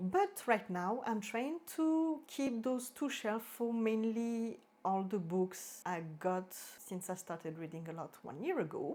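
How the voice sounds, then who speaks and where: A speaker with a French accent talks at a fairly slow pace. The recording is very clean, with a silent background. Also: woman. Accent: French accent, drops H sounds. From French-speaking Switzerland. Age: 30s. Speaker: book vlogger. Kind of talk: casual vlog talk. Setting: filming at home in front of bookshelves. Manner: halting, self-correcting.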